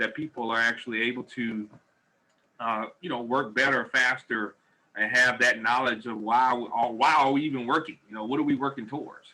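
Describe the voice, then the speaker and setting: A bright, sharp tone with ordinary pitch variation. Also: man. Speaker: business training presenter. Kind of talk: webinar presentation. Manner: fast; animated.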